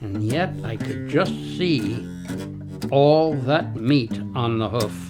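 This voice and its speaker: Music plays behind a man who talks at a very slow pace with long, frequent pauses. His pitch swings very widely. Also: medium pitch for a man. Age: 80s+. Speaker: retired hunter. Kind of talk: interview answer. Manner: reflective storytelling.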